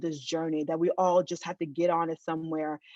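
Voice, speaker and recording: Against a quiet background, a woman speaks at a fairly quick pace in an animated tone, the sound dry and close with no echo. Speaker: keynote speaker, researcher. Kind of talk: keynote talk over video call. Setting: video call. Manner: fast.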